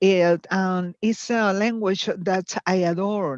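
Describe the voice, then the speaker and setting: With a Latin American accent, a woman talks at a very slow pace. Her medium-pitched voice has ordinary pitch variation and sounds dry and close with no echo. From Venezuela (Táchira State, near Colombia), from age eleven; born in Chile. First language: Spanish. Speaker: dance teacher and meditation teacher. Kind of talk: live interview. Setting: video call from Chile. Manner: halting, many fillers.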